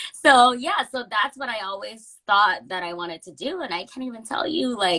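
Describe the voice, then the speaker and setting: A woman speaks at a moderate pace in a fairly high, bright and sharp voice, her pitch swinging very widely and her loudness rising and falling in big swings. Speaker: intuitive medium and reiki healer. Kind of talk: interview.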